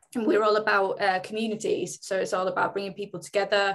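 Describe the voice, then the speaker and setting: A woman's voice sits at medium pitch. She speaks at a very fast pace. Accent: Mancunian. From Greater Manchester (Oldham), England. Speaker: fitness company brand marketing lead. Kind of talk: panel discussion.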